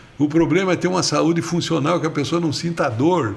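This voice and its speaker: A man's fairly high voice with ordinary pitch variation, audible room echo and noticeable background noise. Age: 70s. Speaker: politician, former mayor and mayoral candidate. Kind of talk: podcast interview.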